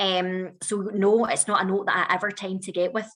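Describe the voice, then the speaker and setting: In a Scottish accent, a woman talks at medium pitch on a very clean recording with a silent background. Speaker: whisky master blender. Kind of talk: virtual whisky tasting.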